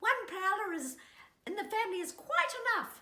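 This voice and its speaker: A squeaky, put-on character voice. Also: woman, extremely high pitch for a woman, moderate pace, lively intonation. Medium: read story. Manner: fussy, prim.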